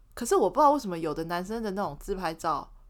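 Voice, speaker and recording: On a very clean recording with a silent background, a woman of medium pitch speaks with lively intonation. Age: 30s. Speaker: podcast co-host. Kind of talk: casual chat.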